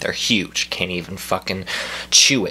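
At a moderate pace, a man is talking. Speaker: comedy vlogger. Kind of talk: angry comic rant, mock-outraged complaint about a food delivery. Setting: video blog, speaking to camera from home. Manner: animated, indignant and exasperated, ranting with stammers and repeats. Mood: exasperated, mocking. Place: home room. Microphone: phone near.

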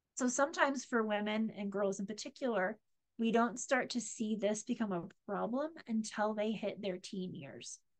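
The background stays quiet. A woman talks at a moderate pace, her pitch varying in an ordinary way. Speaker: presenter on ADHD. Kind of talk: lecture. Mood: warm, explanatory. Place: home room. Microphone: webcam.

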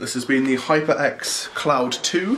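Light background noise is present. Over it, a man talks. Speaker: YouTuber reviewing a gaming headset. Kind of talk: casual unboxing review. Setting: at home, filmed by a friend. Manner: casual, crude, joking. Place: home room. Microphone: phone near.

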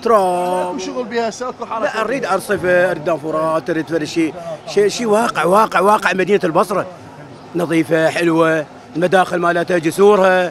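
The recording is dry with no echo, and noticeable background noise is present. A man speaks at a high pitch. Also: ordinary pitch variation, moderate pace. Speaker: interviewee. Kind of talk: interview answer. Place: market. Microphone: handheld.

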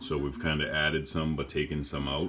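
Over light background noise, a man with a very deep, low pitch speaks with vocal fry. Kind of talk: tutorial. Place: workshop. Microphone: phone near.

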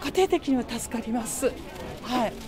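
With music in the background, a woman's pitch swings very widely at a moderate pace. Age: 60s. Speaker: shopper. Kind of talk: interview answer. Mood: pleased, modest. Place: shop.

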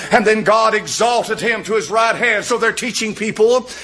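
A man speaks at a high pitch. His tone is animated. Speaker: preacher. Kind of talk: sermon. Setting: church. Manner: emphatic, repetitive, pounding home points with direct appeals; animated, fervent pulpit delivery with frequent amens. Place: church. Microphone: podium.

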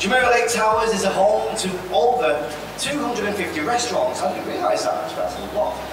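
The speech moves at a moderate pace, with audible room echo and noticeable background noise. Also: man. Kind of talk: ceremony hosting speech. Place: hall. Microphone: podium.

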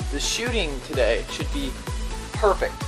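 A man is talking, and clear music can be heard behind him. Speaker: vlogger. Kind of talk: casual talk to camera. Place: garden. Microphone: phone near.

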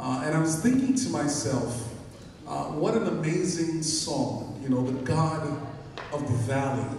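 A man at a fairly slow pace, with strong room echo and light background noise. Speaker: pastor. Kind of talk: sermon. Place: church.

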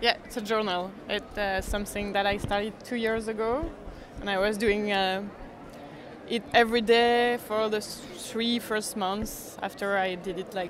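A woman's fairly slow delivery with fairly even intonation and a medium pitch

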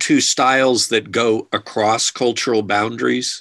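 A man at a very slow pace, medium in pitch, with fairly even intonation and a quiet background. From United States. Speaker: archaeologist; guest. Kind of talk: Q&A answers. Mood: calm, explanatory. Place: office. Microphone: video call.

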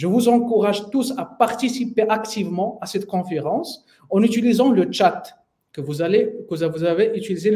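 A man with a high pitch talks at a very slow pace, with ordinary pitch variation. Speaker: sales trainer. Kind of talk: webinar presentation. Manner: halting.

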